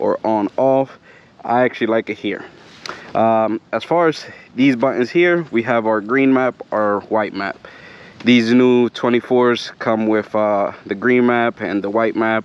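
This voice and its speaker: A man with a medium pitch and fairly even intonation talks fairly slowly while noticeable background noise goes on. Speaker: motorcycle vlogger. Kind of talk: casual vlog review while riding. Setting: outdoors riding trails, full-face helmet. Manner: hesitant, many fillers.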